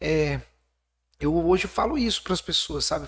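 The recording is very clean with a silent background as a man talks at a moderate speed. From Espírito Santo, Brazil. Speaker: city councillor, entrepreneur and motivational speaker. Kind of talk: casual interview.

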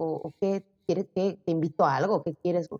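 Her tone is dark and mellow, and the woman's voice has a dry, close sound with no echo. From Mexico, Zacatecas. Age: 20s. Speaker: model and social media creator. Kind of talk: casual interview.

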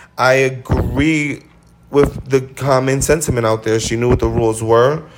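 The man's voice sits at a medium pitch. His tone is animated. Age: 30s. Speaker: podcast host. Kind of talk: casual chat.

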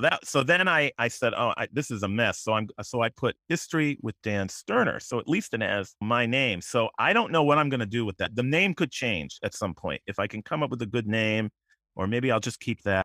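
With an American accent and a plain, everyday voice, a man talks at a medium pitch with lively intonation and hardly any pauses. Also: fairly quick pace. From Connecticut, West Hartford. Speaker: local historian and YouTuber. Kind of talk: casual interview.

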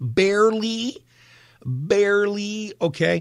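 A man speaks in a warm, upbeat tone, his pitch swinging very widely. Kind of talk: radio DJ patter, friendly live show chat with listeners. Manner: warm, upbeat, chatty, joking.

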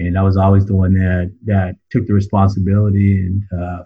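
A man with a fairly low, somewhat breathy voice talks at a moderate pace. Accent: American. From southern California. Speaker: recovering addict sharing story. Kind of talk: testimony. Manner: halting, many fillers and repeats.

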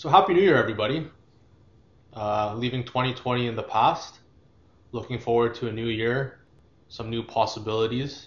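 Somewhat breathy, a man speaks at medium pitch with ordinary pitch variation and long, frequent pauses. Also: moderate pace. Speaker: podcast co-host. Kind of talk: casual chat.

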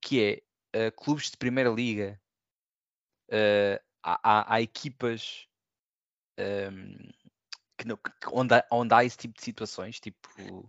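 Long, frequent pauses break up a man's very slow speech, with big swings in loudness. His medium-pitched voice keeps a fairly even intonation. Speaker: podcast host. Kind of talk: casual chat.

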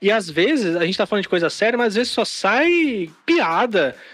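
A man's fairly quick speech swings very widely in pitch against noticeable background noise. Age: 30s. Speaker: podcast host. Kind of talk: casual chat. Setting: online group call.

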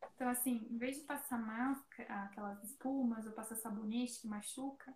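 Here a woman speaks in a high voice. Her intonation stays fairly even. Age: 20s. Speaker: beautician. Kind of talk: casual chat.

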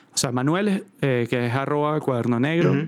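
A normal speaking voice, ordinary pitch variation, and a moderate pace. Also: man. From Venezuela, Caracas. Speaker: musician and creative director. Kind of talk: casual chat.

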